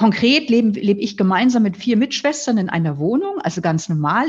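A woman with a somewhat breathy, fairly high-pitched voice talks at a moderate pace, her intonation lively. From northern Germany, near Flensburg. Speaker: nun, author and philosopher. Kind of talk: interview, reflective conversation.

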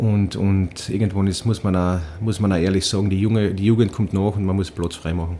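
A man with a fairly low voice and a dark, mellow tone speaks at a fairly quick pace in a flat monotone. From Austria, Carinthia (Villach). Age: 40s. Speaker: ice hockey coach, former player. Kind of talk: casual interview. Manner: hesitant, many repetitions.

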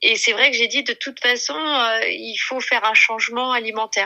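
A woman speaks in an ordinary speaking voice, fairly high in pitch, at a moderate pace. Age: 40s. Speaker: mother of eight sharing weight-loss story. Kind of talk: testimony.

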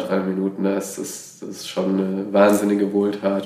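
Monotone, flat intonation from a man with a fairly low pitch, moderate pace and audible room echo. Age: 20s. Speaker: hospital volunteer. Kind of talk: interview. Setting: hospital.

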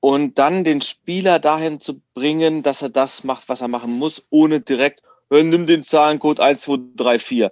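In an unremarkable speaking voice, a man with a fairly high pitch talks at a fairly slow pace, the sound dry and close with no echo. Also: ordinary pitch variation. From Berlin. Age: 40s. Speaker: escape room business owner. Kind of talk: casual interview.

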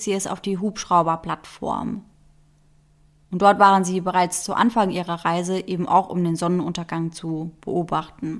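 A normal speaking voice from a woman, medium in pitch, at a moderate pace, on a very clean recording with a silent background. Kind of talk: true-crime narration. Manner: measured, serious storyteller pace; suspenseful, building tension.

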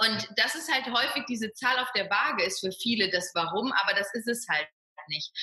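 A woman with a plain, everyday voice, lively intonation and a moderate pace. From Ruhr area, western Germany. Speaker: fitness coach and personal trainer. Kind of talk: interview.

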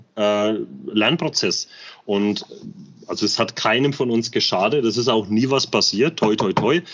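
Moderately paced, this man's medium-pitched voice shows ordinary pitch variation. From Bamberg, Franconia, Germany. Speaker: construction metalworker, airsoft gear channel member. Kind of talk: casual interview chat. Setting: in person, guest's man cave.

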